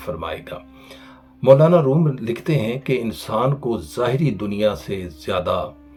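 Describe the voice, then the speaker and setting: With music playing in the background, a man speaks at a medium pitch, his voice swinging very widely up and down. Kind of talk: Islamic lecture. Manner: earnest, preachy.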